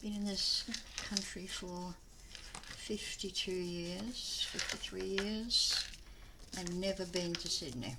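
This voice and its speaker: A woman talks very slowly, pausing often and at length, with audible room echo and noticeable background noise around her. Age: 70s. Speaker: papercraft video maker. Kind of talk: casual craft tutorial chat.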